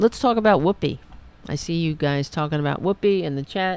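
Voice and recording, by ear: With a low pitch and vocal fry, a woman's voice has a clear, smooth tone that is slightly mellow.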